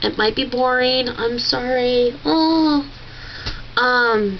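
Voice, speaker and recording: A woman with a high voice and ordinary pitch variation speaks over noticeable background noise. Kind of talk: casual talk to camera. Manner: hesitant, chatty.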